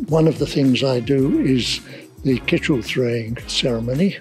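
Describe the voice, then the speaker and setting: Fairly slow speech from a man with fairly even intonation, faint music in the background. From England, Essex. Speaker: town crier. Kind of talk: interview answer. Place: street.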